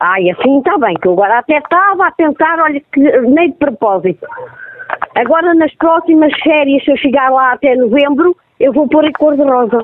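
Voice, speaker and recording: A woman's high-pitched voice with very wide pitch swings and very even loudness. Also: moderate pace. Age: 40s. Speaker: prank call victim. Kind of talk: phone conversation. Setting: phone call.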